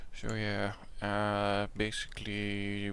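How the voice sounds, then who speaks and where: The voice carries a Dutch accent and monotone, flat intonation. Audible room echo surrounds it. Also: man. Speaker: gaming YouTuber. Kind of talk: gameplay commentary. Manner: halting, many fillers; casual.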